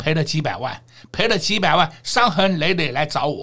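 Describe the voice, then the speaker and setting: Speaking at a moderate pace, a man with vocal fry and a fairly high pitch uses lively intonation and an animated tone. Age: 60s. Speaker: stock market analyst. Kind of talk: market commentary chat.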